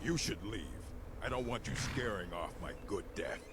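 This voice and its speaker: At a moderate pace, a man performs a put-on character voice against loud background noise. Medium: video game. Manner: stoic, formal.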